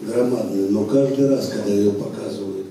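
A man's fairly even intonation carries through strong room echo and light background noise. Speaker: public guest. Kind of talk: talk to an audience, answering a question. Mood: reflective, pleased. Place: stage.

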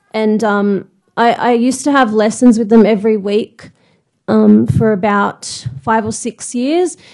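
With an Australian accent, this woman speaks fairly slowly at a fairly high pitch, with ordinary pitch variation. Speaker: blind singer. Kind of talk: prepared speech. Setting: stage with audience.

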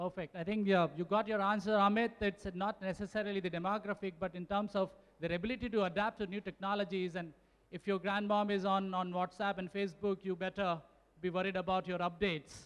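A man's high voice, clear and smooth with a fairly bright tone, little pitch movement, few pauses and a fairly quick pace

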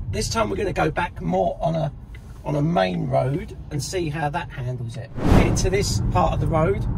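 A man talks at a moderate pace while loud background noise fills the recording. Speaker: car reviewer. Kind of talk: tutorial commentary while driving. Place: car. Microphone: phone near.

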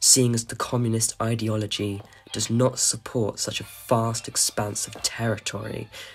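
The voice heard is an unforced reading voice. It reads aloud.

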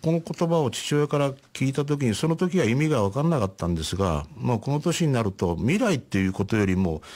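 A man at medium pitch talks at a fairly quick pace, with very wide pitch swings and very even loudness. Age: 70s. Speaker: painter. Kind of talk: radio interview. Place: studio.

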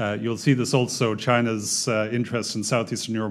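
At a moderate pace, a man with a fairly low pitch talks in a normal speaking voice. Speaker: development bank economist; speaker. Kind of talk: seminar presentation. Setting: stage with audience. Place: meeting room. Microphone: podium.

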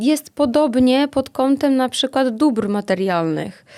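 At a moderate pace, a woman speaks in a high-pitched voice with a dark, mellow tone and ordinary pitch variation, in a very clean recording with a silent background. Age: 30s. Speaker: entrepreneur and dance school owner. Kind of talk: casual chat. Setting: studio.

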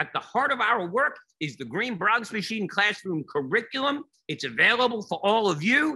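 Over a quiet background, a man projects a raised voice with a bright, sharp tone, lively intonation and a moderate pace. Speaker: educator giving keynote. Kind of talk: keynote presentation. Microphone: webcam.

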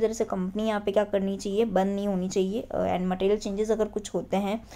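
A woman speaks in a dark, mellow tone with monotone, flat intonation. The recording is very clean, with a silent background. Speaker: online tutor for company secretary exam. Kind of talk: lecture.

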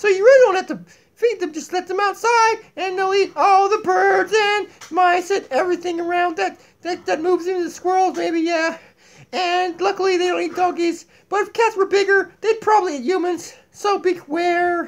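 A man puts on a cartoonish character voice with an extremely high pitch, speaking at a moderate pace. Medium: puppet. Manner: goofy, zany.

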